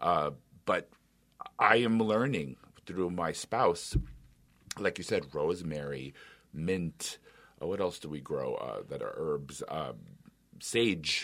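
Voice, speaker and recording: Long, frequent pauses mark a man's very slow speech. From New York City. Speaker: radio show host. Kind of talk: interview. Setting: radio studio.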